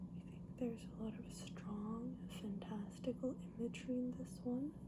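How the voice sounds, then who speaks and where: The voice is soft-spoken and moves at a moderate pace. Noticeable background noise runs underneath. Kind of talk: ASMR book haul, casual talk to camera.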